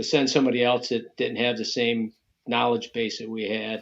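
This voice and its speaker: A man speaks with an American accent and vocal fry. His intonation is fairly even. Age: 60s. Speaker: bow hunting association president. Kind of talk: podcast interview.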